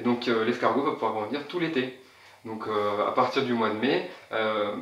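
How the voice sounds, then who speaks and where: Here a man speaks at a moderate pace with fairly even intonation. Noticeable background noise runs underneath. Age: 20s. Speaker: snail farmer. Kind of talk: interview answer.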